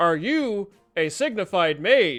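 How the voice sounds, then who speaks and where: In a put-on character voice, a man speaks with a high pitch. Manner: formal, questioning.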